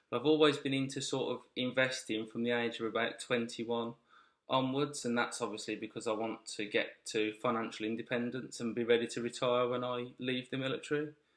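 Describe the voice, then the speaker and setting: A man with a Birmingham accent speaks at a fairly quick pace in a medium pitch, his intonation monotone and flat. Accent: Birmingham (Brummie). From Birmingham, England. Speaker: investing channel host, military serviceman. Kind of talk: casual vlog explanation. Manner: halting, with fillers and restarts.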